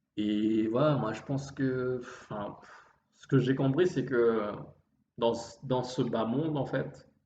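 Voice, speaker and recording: Audible room echo surrounds a man speaking at a very slow pace with big swings in loudness. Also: medium pitch for a man, ordinary pitch variation. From Réunion. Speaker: vlogger. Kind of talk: improvised monologue. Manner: halting.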